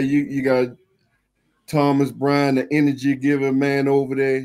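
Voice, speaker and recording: Medium in pitch, a man's voice moves along at a moderate pace. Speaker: sports YouTube channel host. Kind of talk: casual live-stream sports talk. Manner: loud, profane, laughing banter.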